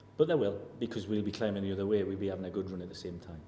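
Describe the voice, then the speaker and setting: A dark, mellow tone carries audible room echo. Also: man. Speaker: football manager. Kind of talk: press interview. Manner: level tone.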